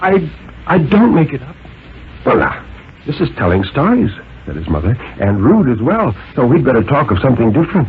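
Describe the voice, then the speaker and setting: A man of medium pitch talks at a fairly quick pace with vocal fry, very wide pitch swings and long, frequent pauses. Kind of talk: dramatic story reading, radio thriller narration.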